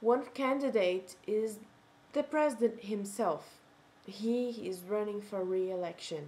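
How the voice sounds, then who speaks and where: Speaking at a fairly slow pace with a Portuguese accent, a woman has a fairly high pitch, a dark, mellow tone and ordinary pitch variation. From Brazil. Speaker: video blogger. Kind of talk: casual vlog monologue. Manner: halting, self-correcting.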